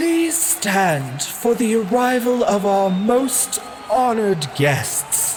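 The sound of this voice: A booming, fairly high-pitched put-on character voice speaks at a very slow pace.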